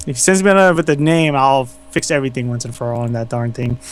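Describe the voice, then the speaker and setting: Pitch moves in an ordinary way. There is noticeable noise in the background. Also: man. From Philippines. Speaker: fan artist. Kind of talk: casual interview. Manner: halting.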